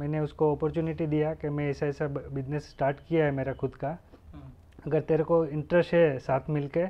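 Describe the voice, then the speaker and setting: With a Gujarati accent, a man speaks fairly slowly in a flat monotone at a fairly high pitch. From Gujarat, India (Junagadh district, rural); Gujarat, India. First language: Gujarati (speaking Hindi). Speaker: guest. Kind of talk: interview. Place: office.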